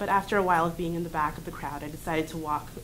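There is light background noise behind this woman. She talks very fast in a fairly low voice. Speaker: college student. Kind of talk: reading aloud. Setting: stage with audience. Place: classroom. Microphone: camera far.

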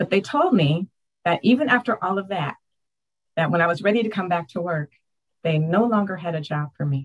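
A woman with a fairly low, somewhat breathy voice talks at a fairly quick pace with lively intonation. She takes long, frequent pauses against a quiet background. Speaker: adult school director; interviewee. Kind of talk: testimony. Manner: animated. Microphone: earbuds.

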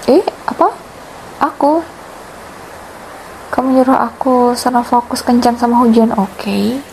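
A woman's high voice at a moderate pace, with very even loudness, ordinary pitch variation, long, frequent pauses and noticeable background noise. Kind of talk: ASMR girlfriend roleplay. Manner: sweet, playful.

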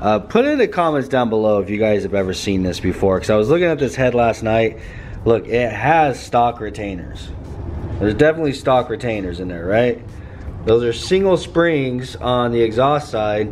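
Light background noise is present. A man talks at a moderate pace. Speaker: car builder vlogger. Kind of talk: casual vlog chat. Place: garage. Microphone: phone near.

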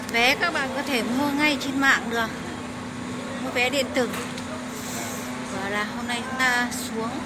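A woman is speaking. Loud background noise runs through the clip. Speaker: travel vlogger. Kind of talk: casual tour commentary. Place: waterside. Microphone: phone near.

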